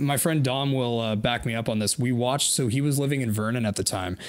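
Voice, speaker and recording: A man speaks against a quiet background. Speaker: podcast co-host. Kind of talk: casual podcast chat. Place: studio. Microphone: handheld.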